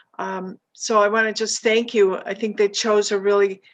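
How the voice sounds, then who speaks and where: A woman talks at a fairly slow pace. Her voice sits at a medium pitch. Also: quiet background. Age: 60s. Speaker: meeting attendee. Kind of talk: audience question and comment. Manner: halting.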